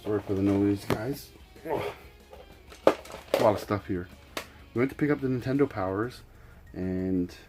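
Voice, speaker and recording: With music playing in the background, a man talks with ordinary pitch variation. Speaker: video game collector. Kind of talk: casual talk to camera.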